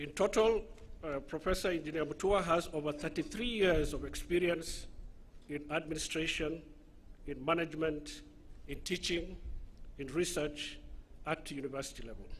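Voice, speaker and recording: Pausing long and often, a man with a Somali accent speaks at a moderate pace in a fairly high pitch with ordinary pitch variation. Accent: Somali accent (self-described). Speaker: master of ceremonies. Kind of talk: formal introduction of speaker at ceremony. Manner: formal.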